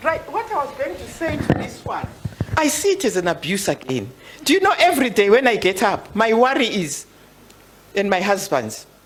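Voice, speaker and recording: Over noticeable background noise, a woman talks at a moderate pace in a fairly high pitch, her voice making very wide pitch swings. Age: 70s. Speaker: women's rights elder. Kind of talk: panel discussion.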